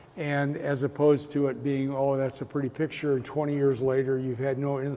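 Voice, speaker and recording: Over noticeable background noise, a man talks in a fairly high pitch with monotone, flat intonation. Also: fairly quick pace. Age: 70s. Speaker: artist. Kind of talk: interview. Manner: halting, frequent repetitions.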